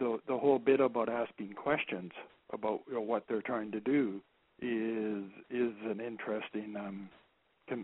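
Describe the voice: Soft-spoken, with a slightly husky edge, a man speaks at a moderate pace with a fairly low pitch and fairly even intonation.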